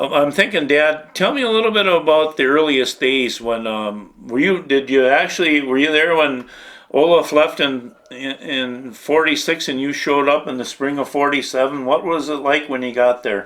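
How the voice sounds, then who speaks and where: At a moderate pace and with hardly any pauses, a man with a normal speaking voice and fairly high pitch shows ordinary pitch variation. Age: 50s. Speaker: interviewer, fisherman's son. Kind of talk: interview.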